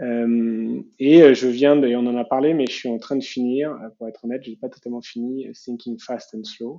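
A man talks at a moderate pace with hardly any pauses, his medium pitch held in a monotone, flat intonation. His loudness swings widely. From Paris region, France. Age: 30s. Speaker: startup founder and CEO. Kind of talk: interview.

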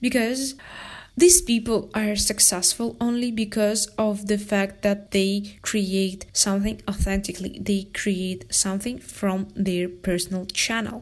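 A woman's somewhat breathy, medium-pitched voice, fairly even in intonation, at a fairly slow pace. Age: 20s. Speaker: podcast host and photographer. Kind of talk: casual solo talk. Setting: room near the jungle.

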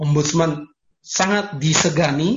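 This man's fairly high voice carries a somewhat breathy quality. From Papua, Indonesia (Sorong). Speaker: lawyer. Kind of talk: lecture.

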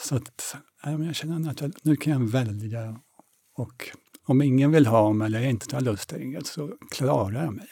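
This man has a normal speaking voice at a medium pitch, with ordinary pitch variation. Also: moderate pace. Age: 60s. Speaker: theatre director and masters sprinter. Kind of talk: interview.

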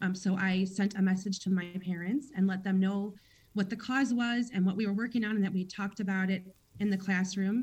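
A woman with an American accent and a medium-pitched voice talks at a fairly quick pace, somewhat breathy, with fairly even intonation and very even loudness. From Chicago. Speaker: kindergarten teacher. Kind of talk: radio interview.

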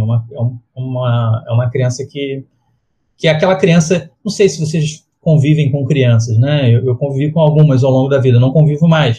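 The voice has a dark, mellow, somewhat breathy tone, moving at a moderate pace with ordinary pitch variation. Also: man. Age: 40s. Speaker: illustrator and comic artist. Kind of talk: interview conversation. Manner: halting.

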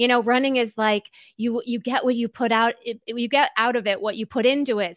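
A woman speaks at a moderate pace with a fairly high pitch. The sound is dry and close, with no echo. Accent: American. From Chicago suburbs, Illinois. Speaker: running podcaster and author. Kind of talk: casual interview.

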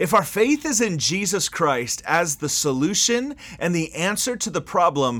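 A man speaks in an animated, bright and sharp tone. His pitch swings very widely. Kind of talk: sermon-style monologue with prayer. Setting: solo podcast recording. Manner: animated, impassioned, emphatic.

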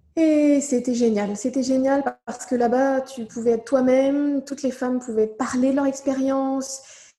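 A woman speaks at a high pitch and a moderate pace with monotone, flat intonation. Noticeable background noise runs behind her. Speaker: mother sharing birth story. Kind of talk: testimony. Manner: halting; soft-spoken.

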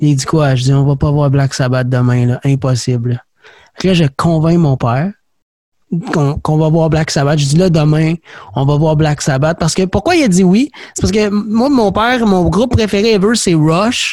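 In a Quebec accent, a man speaks at a fairly high pitch with lively intonation and very even loudness. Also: moderate pace. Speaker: podcast host. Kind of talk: casual interview chat.

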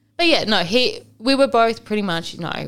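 A woman speaks at a moderate pace with vocal fry. Her pitch varies in an ordinary way. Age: 20s. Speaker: single mother sharing her story. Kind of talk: casual chat.

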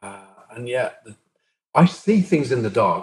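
This man's voice is somewhat breathy and sits at a medium pitch. He speaks at a moderate pace. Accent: southern English. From southern England, Brighton. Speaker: techno DJ and producer. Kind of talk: interview conversation.

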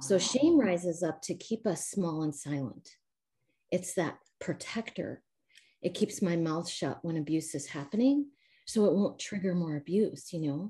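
With an American accent, a woman talks at a moderate pace in a fairly low, dark, mellow, somewhat breathy voice with lively intonation. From US Midwest. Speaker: trauma recovery coach. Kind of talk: interview. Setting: video call, camera off.

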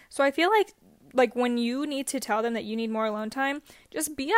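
Ordinary pitch variation in a very clean recording with a silent background. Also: woman. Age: 20s. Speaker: podcast editor, guest. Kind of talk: casual chat.

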